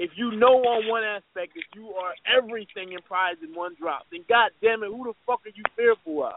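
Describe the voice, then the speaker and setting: A man talks in a high pitch with lively intonation and hardly any pauses. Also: moderate pace, big swings in loudness. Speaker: podcast co-host. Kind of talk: casual chat. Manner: laid-back; animated.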